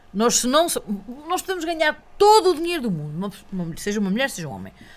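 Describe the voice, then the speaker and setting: This woman has a European Portuguese accent and a fairly high pitch. Her pitch swings very widely. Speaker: local election candidate; podcast guest, candidate. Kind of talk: casual interview. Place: studio. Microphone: studio mic.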